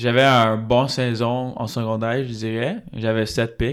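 Very slowly, a man speaks in an English accent at medium pitch. His intonation is monotone and flat, and the recording is very clean with a silent background. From Laval, Quebec. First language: English (speaking French). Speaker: university football player. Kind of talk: casual interview.

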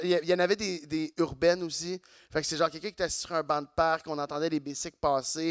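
A man with a high pitch speaks at a fairly quick pace in a monotone, flat intonation. The recording is very clean with a silent background, and the sound is dry and close with no echo. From Quebec, Saint-Eustache. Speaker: comedian. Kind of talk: casual chat. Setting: stage with audience.

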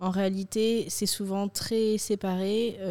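The woman's tone is dark and mellow. She keeps her intonation monotone and flat. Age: 20s. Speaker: communications student. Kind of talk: casual round-table chat.

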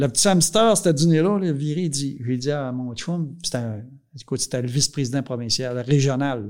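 Speaking with a Quebec accent, a man uses a fairly high pitch and ordinary pitch variation at a fairly slow pace with hardly any pauses. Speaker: dairy farmer and farm union leader. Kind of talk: casual interview, life story. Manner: halting, many repetitions.

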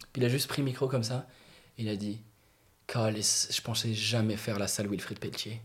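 Delivered at a moderate pace, the speech has monotone, flat intonation and long, frequent pauses. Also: man. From Morocco. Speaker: comedian. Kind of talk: casual chat.

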